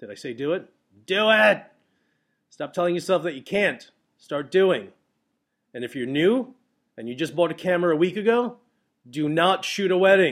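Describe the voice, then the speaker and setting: Speaking at a moderate pace with long, frequent pauses, a man uses a high voice, lively intonation and big swings in loudness. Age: 40s. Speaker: wedding photographer and podcast host. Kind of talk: casual solo podcast monologue. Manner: animated, many fillers and repetitions.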